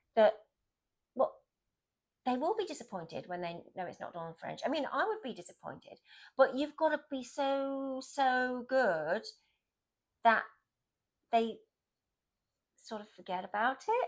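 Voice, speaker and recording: Speech in a southern English accent comes at a fairly slow pace, broken by long, frequent pauses. Very wide pitch swings and big swings in loudness stand out on a very clean recording with a silent background. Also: woman, high pitch for a woman. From southern England, Southampton area. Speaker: stage actress. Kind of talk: casual chat. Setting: at home on the couch.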